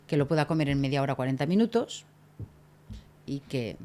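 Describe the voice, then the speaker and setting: Her very deep, low-pitched voice has a dark, mellow tone. The woman moves at a moderate pace with lively intonation. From Catalonia, Spain (Tarragona). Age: 50s. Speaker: hospitality consultant. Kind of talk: podcast interview. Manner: animated.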